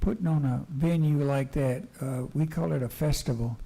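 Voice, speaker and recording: A man with a Texan accent speaks at a fairly slow pace in a dark, mellow tone that is somewhat breathy. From US South. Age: 70s. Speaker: city council member. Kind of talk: council meeting remarks. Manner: halting, repeats words.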